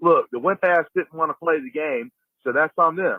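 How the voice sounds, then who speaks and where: With ordinary pitch variation, a man delivers his words at a fairly quick pace and a fairly high pitch. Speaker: caller leaving a voicemail. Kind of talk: phone voicemail, casual fan commentary. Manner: halting, many fillers and repeats.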